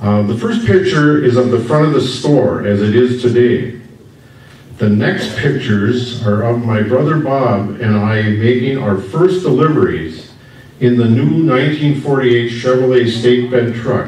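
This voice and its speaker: At a fairly slow pace, a man with an Upper Midwest US accent speaks in a medium pitch, with audible room echo and noticeable background noise. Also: ordinary pitch variation. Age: 70s. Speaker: local business owner and family historian. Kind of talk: public history presentation. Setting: stage with audience at history festival.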